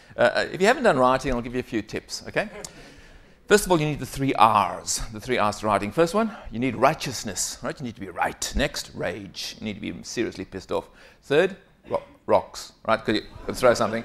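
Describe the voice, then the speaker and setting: Speaking at a fairly quick pace with a South African accent, the voice has big swings in loudness. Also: man. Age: 50s. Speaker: keynote speaker. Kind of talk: conference keynote. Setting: stage with audience. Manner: animated.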